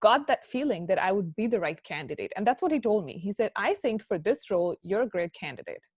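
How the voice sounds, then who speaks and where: In a dry, close sound with no echo, a woman with an American accent talks at a fairly quick pace with hardly any pauses and very wide pitch swings. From India. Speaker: chartered accountant and career speaker. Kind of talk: guest lecture to students. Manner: conversational, with frequent fillers.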